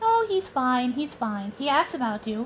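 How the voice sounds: A woman puts on a cartoonish character voice, high-pitched with lively intonation. She keeps a moderate pace over clear background noise.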